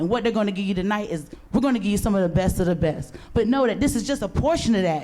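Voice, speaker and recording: There is audible room echo around a woman with a dark, mellow tone. Her pitch is medium and her intonation lively. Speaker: event host. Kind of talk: live event hosting. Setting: outdoor stage with audience. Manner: animated.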